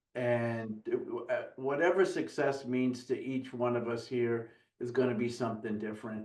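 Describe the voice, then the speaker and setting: A man with an ordinary speaking voice talks at a moderate pace with a medium pitch and fairly even intonation. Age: 60s. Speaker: business coach guest. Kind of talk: casual interview chat.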